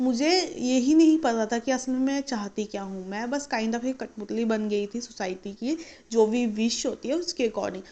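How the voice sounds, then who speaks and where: This woman has a fairly high pitch and a dark, mellow tone, talking at a moderate pace with ordinary pitch variation. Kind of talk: casual story time talk to camera.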